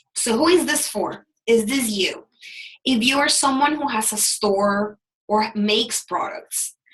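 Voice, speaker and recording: With lively intonation, a woman in a Salvadoran accent speaks at a fairly slow pace. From El Salvador. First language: Spanish. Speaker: business coach. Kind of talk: webinar presentation. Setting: live online webinar.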